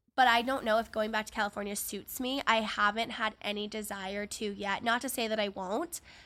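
A woman talks at a fairly quick pace in an ordinary speaking voice, her pitch fairly high and her intonation fairly even, on a very clean recording with a silent background. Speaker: podcast host. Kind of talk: casual chat. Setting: home studio.

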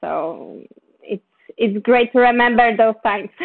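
A woman's flat, monotone delivery with a Polish accent. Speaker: film producer. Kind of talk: interview.

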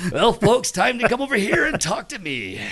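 A put-on character voice at a moderate pace over light background noise. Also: man, high pitch for a man. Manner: smarmy, salesy.

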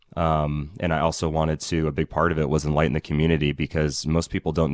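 A man with a Californian accent speaks in a very deep, low pitch and a monotone, flat intonation, recorded with a dry, close sound with no echo. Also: quiet background. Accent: general American, Californian. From Ukiah, Northern California. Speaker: sheriff candidate, former deputy. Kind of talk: live radio interview with call-ins. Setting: radio studio, live call-in.

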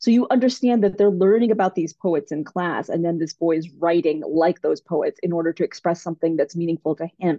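A woman with a plain, everyday voice and a fairly low pitch talks at a moderate pace. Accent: American. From Kentucky, US. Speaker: children's author and doctor. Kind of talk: interview.

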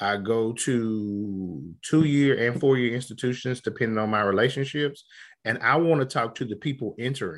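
Against a quiet background, a man talks at a moderate pace and medium pitch in a plain, everyday voice. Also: ordinary pitch variation. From Southeast Texas / Southwest Louisiana. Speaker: radiology application specialist and professional society leader. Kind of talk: interview.

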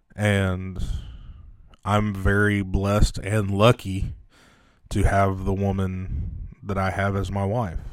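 A man's fairly low, flat monotone at a very slow pace, broken by long, frequent pauses. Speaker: podcast host. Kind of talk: casual banter podcast. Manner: joking, bantering.

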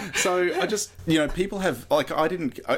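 A man talking at a fairly quick pace on a very clean recording with a silent background. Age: 40s. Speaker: tech startup CEO and founder. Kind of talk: interview.

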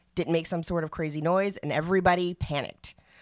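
Here is a woman with an ordinary speaking voice, fairly low in pitch. She talks at a fairly quick pace with ordinary pitch variation. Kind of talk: casual banter with prepared pick reading.

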